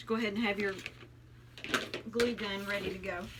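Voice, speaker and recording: Over noticeable background noise and audible room echo, a woman with a Southern US accent talks at a fairly quick pace in a medium pitch. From US South, Tennessee. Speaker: craft youtuber. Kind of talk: tutorial. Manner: casual, friendly.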